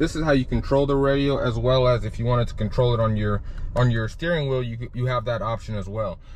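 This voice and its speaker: A man talks at a very fast pace and medium pitch. Audible room echo surrounds his voice. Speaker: car vlogger. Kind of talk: car review walkthrough. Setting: in a car. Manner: casual, animated; loud.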